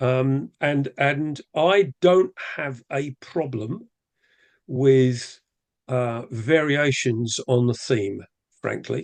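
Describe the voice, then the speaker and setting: Against a quiet background with a dry, close sound and no echo, a man with an English accent speaks very slowly in a medium pitch with ordinary pitch variation. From England. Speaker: rotary club leader, webinar presenter. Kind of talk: casual chat; webinar presentation.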